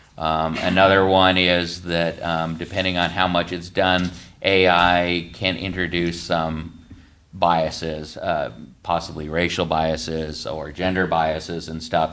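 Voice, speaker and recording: Audible room echo carries a man's very deep, low voice as he speaks at a fairly slow pace with monotone, flat intonation. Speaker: county IT staff presenting policy. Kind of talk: public meeting presentation. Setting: county commissioners meeting.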